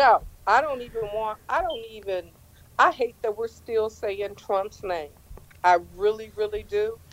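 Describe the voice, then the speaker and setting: A woman's fairly slow delivery with ordinary pitch variation over noticeable background noise. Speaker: caller. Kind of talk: casual chat. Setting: video call.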